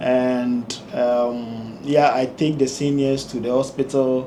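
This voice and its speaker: Audible echo fills the room. Background noise is noticeable. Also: man. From Ghana. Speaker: engineer and community leader. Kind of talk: interview. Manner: hesitant, with fillers.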